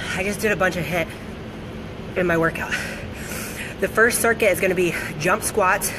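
A woman at a moderate pace, her intonation fairly even, with noticeable background noise. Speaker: fitness coach. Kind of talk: casual livestream workout instruction. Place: gym. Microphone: phone near.

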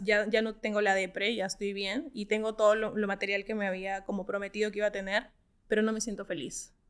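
A woman's fairly high voice comes through against a quiet background. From Peru. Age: 30s. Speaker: startup co-founder; guest. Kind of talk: interview. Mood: reflective, earnest. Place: studio. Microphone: studio mic.

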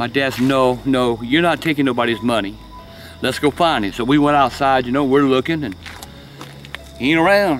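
A man with a Southern US accent talks at a fairly quick pace, with long, frequent pauses and ordinary pitch variation. The sound is dry with no echo, and music plays in the background. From South Carolina. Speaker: storyteller. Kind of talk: storytelling. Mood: calm, hushed, eerie telling. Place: garden. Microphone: phone near.

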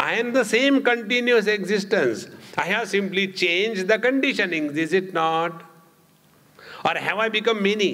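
A man speaks in a high, raised, projected voice. His loudness stays very even. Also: ordinary pitch variation, moderate pace. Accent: Indian. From India. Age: 70s. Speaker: spiritual teacher. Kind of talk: spiritual discourse. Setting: stage with audience. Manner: conversational and humorous. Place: hall. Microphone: podium.

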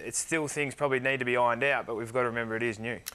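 This is a man speaking with an Australian accent. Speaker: professional footballer; guest. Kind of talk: interview. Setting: studio. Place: studio. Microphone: lapel.

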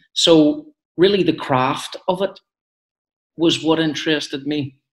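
The voice has a Belfast accent. The background is quiet. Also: man. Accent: Belfast Northern Irish. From west Belfast, Northern Ireland. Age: 30s. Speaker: actor. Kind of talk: interview. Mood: relaxed, reflective, smiling. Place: home room. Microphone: video call.

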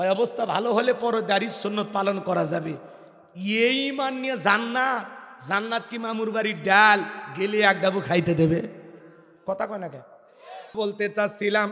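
Over noticeable background noise, a man with a high pitch uses a raised, projected voice and an animated tone with ordinary pitch variation. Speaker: Islamic preacher. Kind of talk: sermon. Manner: animated, loud call-and-response.

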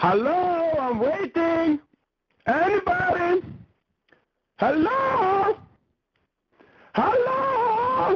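A cartoonish character voice at an extremely high pitch, spoken at a very slow pace with long, frequent pauses. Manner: irritated, shouting.

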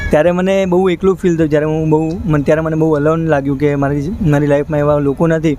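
The delivery is monotone and flat, with a dry sound free of echo and light background noise. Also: man. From North Gujarat, India. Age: 20s. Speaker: volunteer listener, social campaign founder; interviewee. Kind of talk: interview. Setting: outdoors under a bridge. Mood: reflective, calm. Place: street. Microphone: handheld.

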